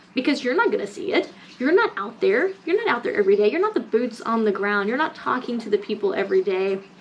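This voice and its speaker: A woman's animated tone comes through with lively intonation and a fairly high pitch, against noticeable background noise. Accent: American. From US South, Mississippi. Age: 30s. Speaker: lifestyle vlogger. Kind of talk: casual rant vlog.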